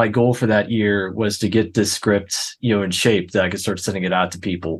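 This man has a plain, everyday voice with an American accent. His pitch sits fairly low. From Pittsburgh, US. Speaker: filmmaker. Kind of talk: casual chat.

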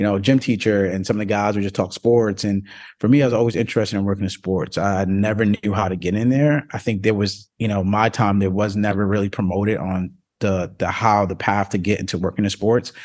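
Against a quiet background, a man with an ordinary speaking voice speaks at a fairly quick pace in a fairly low pitch with fairly even intonation. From New Jersey. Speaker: sports agent and athlete mentor. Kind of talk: casual interview.

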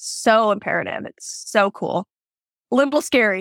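A woman with an American accent speaks in a fairly high voice with vocal fry and ordinary pitch variation. The recording is very clean, with a silent background. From Washington State. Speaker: barrel racer. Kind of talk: casual interview chat.

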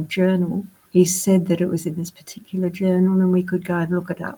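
Somewhat breathy and dark, mellow in tone, a woman with an Australian accent speaks at a fairly low pitch. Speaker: pastor's wife and grandmother. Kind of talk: interview testimony.

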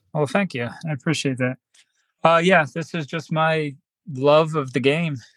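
With a plain, everyday voice, a man talks at a moderate pace in a fairly high pitch and fairly even intonation. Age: 30s. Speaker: bare knuckle fighter and police officer. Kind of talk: casual interview.

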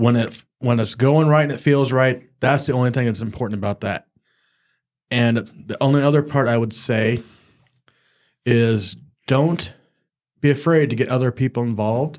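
With long, frequent pauses, a man speaks at a moderate pace and medium pitch, his intonation fairly even. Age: 40s. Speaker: associate pastor. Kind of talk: casual faith discussion.

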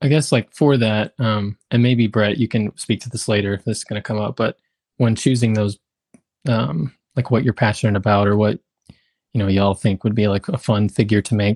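A man talks with a normal speaking voice at a moderate pace, his pitch varying in an ordinary way. The sound is dry and close, with no echo. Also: fairly low pitch for a man. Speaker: podcast co-host. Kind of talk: casual interview.

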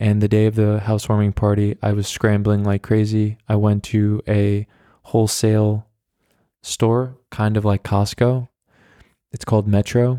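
The recording is very clean, with a silent background and a dry, close sound with no echo. The tone is dark and mellow, with an American accent and a moderate pace. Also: man. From US, New York. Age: 20s. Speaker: podcast host. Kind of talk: casual solo monologue. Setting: home recording, walking around flat. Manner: casual, filler-heavy with restarts.

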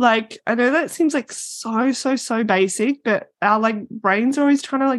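Moderate pace and a dry, close sound with no echo. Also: woman. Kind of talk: casual interview chat. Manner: animated, loud at times.

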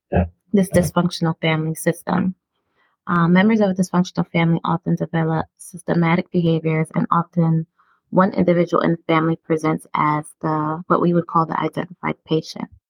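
Somewhat breathy, a woman with an American accent and fairly low pitch talks at a fairly quick pace in a monotone, flat intonation. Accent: Brooklyn New York, watered down. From Brooklyn, New York. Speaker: podcast host discussing mental health. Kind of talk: educational casual conversation.

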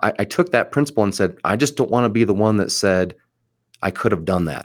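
In a very clean recording with a silent background, a man talks at a fairly quick pace, fairly low in pitch with ordinary pitch variation. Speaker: mortgage loan officer and podcast host. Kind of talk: solo podcast monologue.

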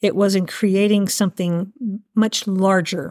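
This is an unremarkable speaking voice from a woman of medium pitch at a fairly slow pace. The recording is very clean with a silent background and a dry, close sound with no echo. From Asheville, North Carolina. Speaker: event director. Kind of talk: interview conversation.

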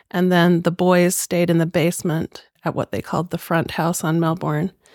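A woman with an American accent talks at a moderate pace and a fairly low pitch. The sound is dry and close with no echo, on a very clean recording with a silent background. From Utah, Salt Lake area. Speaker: community volunteer. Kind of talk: casual chat.

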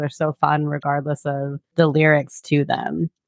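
The recording is dry and close with no echo, carrying a woman's very deep, low-pitched voice. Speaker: podcast host. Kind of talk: casual chat.

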